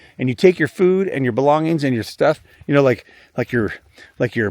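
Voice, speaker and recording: A man with a fairly high voice and lively intonation is captured on a very clean recording with a silent background, the sound dry and close with no echo. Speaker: travel vlogger. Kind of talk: walking vlog narration. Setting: indoors in a store, then outdoors. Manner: casual, rambling with fillers; fast.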